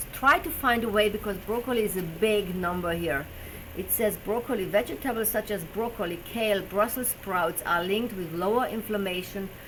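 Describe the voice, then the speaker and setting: With a German accent, a woman talks at a moderate pace in a medium pitch with ordinary pitch variation, against noticeable background noise. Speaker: personal trainer and health show host. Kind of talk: live stream talk. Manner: halting, with fillers.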